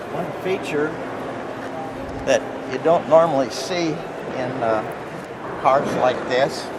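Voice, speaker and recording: There is noticeable background noise as a man with a fairly high pitch talks with ordinary pitch variation. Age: 80s+. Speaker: car owner. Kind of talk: casual interview. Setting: indoor car show.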